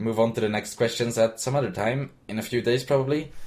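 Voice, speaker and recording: A man's somewhat breathy voice sits at a medium pitch. He goes fairly quickly. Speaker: YouTuber answering viewer questions. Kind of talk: casual Q&A monologue.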